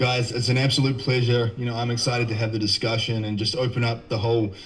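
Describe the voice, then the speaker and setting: With a New Zealand accent, a man speaks at a medium pitch and a fairly quick pace. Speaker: nutrition and health coach. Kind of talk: podcast interview.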